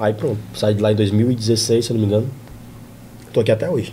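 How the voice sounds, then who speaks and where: A man with a medium pitch speaks in a dark, mellow tone with vocal fry. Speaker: comedian. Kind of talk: casual chat.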